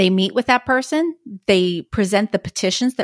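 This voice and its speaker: A woman with a plain, everyday voice speaks at a moderate pace and medium pitch, with lively intonation and a dry, close sound with no echo. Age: 30s. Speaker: professional guardian and geriatric care manager. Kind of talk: interview.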